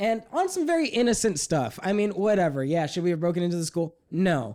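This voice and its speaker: A man's high, dark and mellow voice with lively intonation. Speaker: podcast host. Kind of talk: casual chat.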